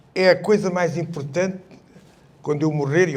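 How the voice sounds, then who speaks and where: Audible room echo surrounds a man's voice. He talks at a fairly quick pace with fairly even intonation. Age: 70s. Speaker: retired army colonel, revolution veteran. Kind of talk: public panel talk. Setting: public event with audience.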